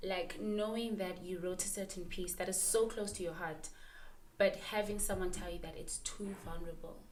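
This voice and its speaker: Here is a woman with an unremarkable speaking voice and medium pitch. She talks at a moderate pace with fairly even intonation. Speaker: podcast host. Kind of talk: podcast interview questions.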